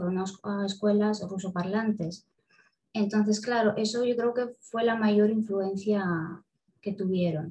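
A woman with a medium-pitched, somewhat breathy voice and a dark, mellow tone speaks at a fairly slow pace in a monotone, flat intonation. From Moldova, moved to southern Spain at 8. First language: Russian (speaking Spanish). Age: 20s. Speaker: university student and polyglot. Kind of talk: interview.

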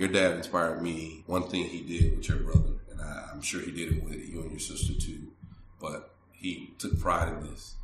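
A man speaks at a moderate pace in a very deep, low pitch with monotone, flat intonation. His loudness swings widely, and there is audible room echo. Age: 40s. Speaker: city manager. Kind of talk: casual interview.

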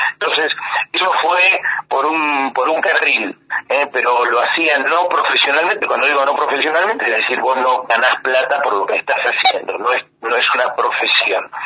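A man with an Argentine accent at very even loudness, with noticeable background noise. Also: moderate pace. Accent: Argentine Spanish (Rioplatense). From Argentina (raised there from early childhood). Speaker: photographer and journalist. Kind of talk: interview.

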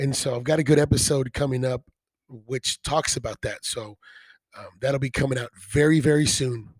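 Somewhat breathy, a man speaks with monotone, flat intonation and big swings in loudness, captured with a dry, close sound and no echo. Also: fairly high pitch for a man, moderate pace. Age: 20s. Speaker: podcast host. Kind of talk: casual interview chat. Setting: recorded in guest's home.

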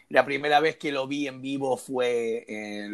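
In a very clean recording with a silent background, a man speaks at a very slow pace with fairly even intonation. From Argentina. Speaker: podcast co-host. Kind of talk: interview.

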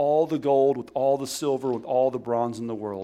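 A man speaks with a Southern US accent. His pitch is fairly high. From Alabama, US South. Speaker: guest preacher. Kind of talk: sermon. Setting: church.

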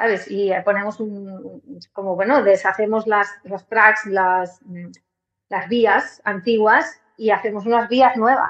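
A woman talks at a very slow pace. Her medium-pitched voice has fairly even intonation. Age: 40s. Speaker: musician and holistic therapist. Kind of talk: interview conversation.

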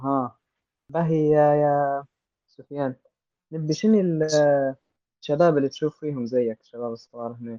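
This man speaks with a Libyan accent. His pace is moderate and his pitch variation ordinary. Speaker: podcast host. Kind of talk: moderated discussion.

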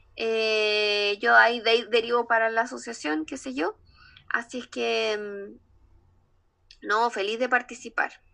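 Over a quiet background, a woman with a Chilean accent speaks at a very slow pace with long, frequent pauses, her bright, sharp tone held to fairly even intonation. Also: fairly high pitch for a woman. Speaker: speech therapist, association director. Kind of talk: casual interview chat. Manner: hesitant, many fillers.

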